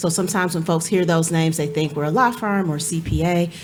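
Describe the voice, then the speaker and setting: Amid noticeable background noise and audible room echo, a woman with an American accent speaks with ordinary pitch variation. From Cleveland, Ohio. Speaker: nonprofit executive director. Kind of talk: panel discussion. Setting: stage with audience.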